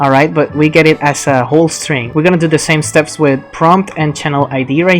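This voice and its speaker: Music plays in the background as the speaker talks at a fairly quick pace with a non-native accent. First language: not English. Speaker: software developer. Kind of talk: software tutorial talk. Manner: casual.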